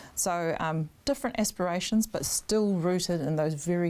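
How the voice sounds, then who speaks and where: A woman with a New Zealand accent speaks at a moderate pace and a fairly low pitch. The recording is very clean, with a silent background. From New Zealand, Auckland North Shore. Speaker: political candidate. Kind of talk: interview.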